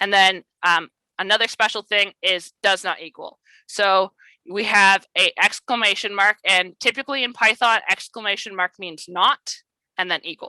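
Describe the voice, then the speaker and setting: A woman speaks at a moderate pace with a bright, sharp tone. Her intonation stays fairly even. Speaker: coding workshop instructor. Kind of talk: tutorial. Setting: video call. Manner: casual, many fillers.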